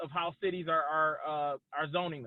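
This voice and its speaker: The voice is loud and moves at a fairly quick pace. Its intonation stays fairly even. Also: man. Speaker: cannabis business expert, panelist. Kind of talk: webinar panel discussion. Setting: video call while driving.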